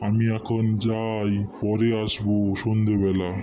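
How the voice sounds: A man's cartoonish character voice, fairly low in pitch, over clear background noise.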